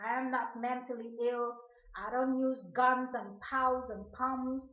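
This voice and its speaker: A woman speaks at a high pitch in a monotone, flat intonation. Her voice carries audible room echo. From Guyana, Georgetown. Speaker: video blogger. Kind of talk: personal monologue rant to camera.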